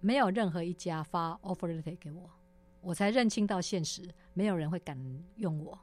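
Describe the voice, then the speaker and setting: Music plays behind a woman whose fairly low voice shows ordinary pitch variation. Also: moderate pace. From Taiwan, Taipei (Wanhua). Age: 50s. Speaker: former tech company general manager. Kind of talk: interview. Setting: studio. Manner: animated.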